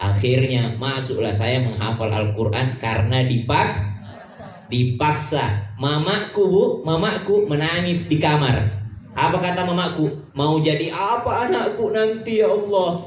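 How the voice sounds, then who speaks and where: With noticeable background noise and audible room echo, a man speaks fairly slowly in a fairly high pitch, his voice making very wide pitch swings. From South Sulawesi, Bugis. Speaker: Islamic preacher. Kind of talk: sermon. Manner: forceful, sounds like scolding; animated.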